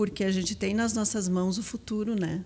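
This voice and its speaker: Her medium-pitched voice carries fairly even intonation as the woman speaks. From southern Brazil, Palmeira das Missões, Rio Grande do Sul. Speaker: school vice-principal, educator. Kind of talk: podcast interview.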